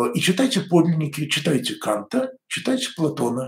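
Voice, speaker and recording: Speaking at a moderate pace, a man uses a fairly high pitch with very wide pitch swings and vocal fry. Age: 60s. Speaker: church commentator. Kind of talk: weekly news commentary monologue. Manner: conversational.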